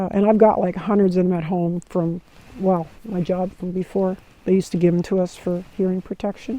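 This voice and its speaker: With a dark, mellow tone, a woman talks at a fairly quick pace at medium pitch, her intonation monotone and flat. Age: 60s. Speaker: hiker vlogger. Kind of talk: casual monologue. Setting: outdoors by campfire. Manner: halting.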